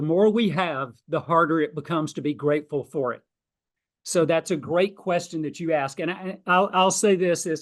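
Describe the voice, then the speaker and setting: Speaking with a Southern US accent, a man uses fairly high pitch and ordinary pitch variation. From US South, South Georgia. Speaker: financial planner and author. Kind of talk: podcast interview. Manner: loud, passionate.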